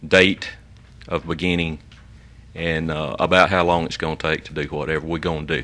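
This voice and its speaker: Speaking in a Southern US accent, a man with a very deep, low pitch and a bright, sharp tone talks at a fairly quick pace in a monotone, flat intonation, with long, frequent pauses. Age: 70s. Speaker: resident addressing the commission. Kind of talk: public comment.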